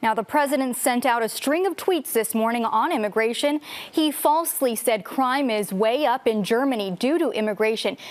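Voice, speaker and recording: Lively intonation marks this woman's high-pitched voice. She keeps a moderate pace at a very even loudness. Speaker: TV news anchor and reporter. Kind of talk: TV news anchor read.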